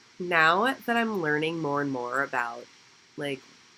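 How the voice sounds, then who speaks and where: Speaking at a moderate pace, the woman has a very deep, low pitch. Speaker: esthetician student and vlogger. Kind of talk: casual Q&A vlog. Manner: chatty, filler-heavy.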